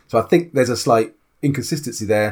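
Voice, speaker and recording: This man has a British accent and a fairly quick pace. His intonation is lively. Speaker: tabletop RPG podcast co-host. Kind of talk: casual chat.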